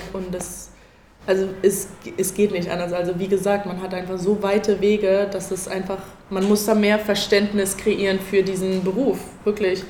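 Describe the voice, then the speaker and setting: Audible room echo surrounds a monotone, flat delivery at a moderate pace. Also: woman, medium pitch for a woman. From Berlin. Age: 20s. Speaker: college basketball player. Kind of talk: panel talk before live audience. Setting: event venue with audience.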